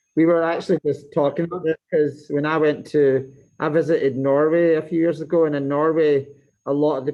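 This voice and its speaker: A man's fairly high, dark and mellow voice in a Scottish accent, flat and monotone at a fairly quick pace against a quiet background. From Scotland. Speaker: teacher. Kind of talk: casual chat. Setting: video call.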